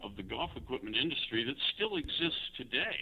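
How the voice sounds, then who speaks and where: At a moderate pace, a man speaks with vocal fry. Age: 60s. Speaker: golf club designer. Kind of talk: interview. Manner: many fillers (you know, um).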